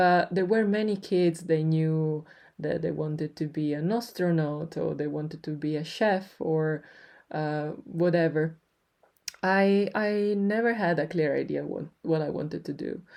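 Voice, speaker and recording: A woman with an Italian accent speaks in a very deep, low, dark and mellow voice with ordinary pitch variation. She keeps a fairly slow pace over a quiet background. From Italy, Turin. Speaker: podcast host. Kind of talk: personal storytelling. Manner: hesitant, many fillers.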